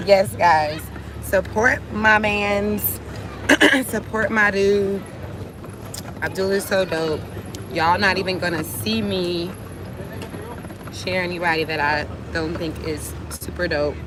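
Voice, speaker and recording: Amid noticeable background noise and audible room echo, a woman with a fairly low pitch speaks at a very slow pace with long, frequent pauses. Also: ordinary pitch variation. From United States. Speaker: vlogger. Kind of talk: livestream vlog. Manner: animated.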